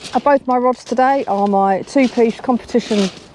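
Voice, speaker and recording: A woman speaks at a fairly slow pace with ordinary pitch variation. There is noticeable background noise. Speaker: sea angler vlogger. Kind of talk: outdoor fishing vlog commentary. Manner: casual, chatty.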